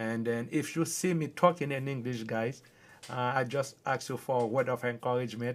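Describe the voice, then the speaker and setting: A man speaks with a strong Haitian accent at a medium pitch. His pace is moderate and his intonation fairly even. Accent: thick Haitian. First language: Haitian Creole. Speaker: livestreamer. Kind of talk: casual chat. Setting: livestream.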